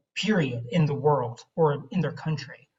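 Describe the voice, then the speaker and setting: Somewhat breathy, a man talks at a moderate pace in a fairly high pitch. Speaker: director of education at a patient foundation. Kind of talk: presentation in a video-call meeting. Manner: hesitant, many fillers.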